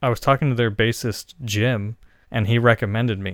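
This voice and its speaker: In a plain, everyday voice, a man speaks at a moderate pace and medium pitch, on a very clean recording with a silent background and a dry, close sound with no echo. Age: 30s. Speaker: musician. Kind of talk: casual chat. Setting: studio.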